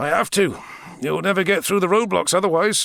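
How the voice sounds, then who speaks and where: Putting on a raspy character voice, a man talks at a fairly quick pace with a high pitch. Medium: read story. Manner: dry, unflappable.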